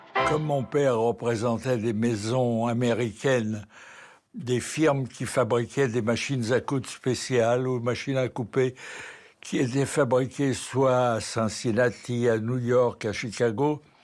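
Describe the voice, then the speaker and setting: This man's medium-pitched voice moves at a very slow pace, his intonation fairly even. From France, Paris. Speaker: war veteran. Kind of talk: testimony.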